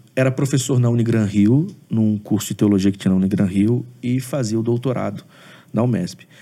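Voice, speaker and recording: This man's voice has a dark, mellow tone at a medium pitch, with ordinary pitch variation. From Brazil, Espírito Santo (Aracruz). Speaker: pastor and theology professor. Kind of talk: interview on theology.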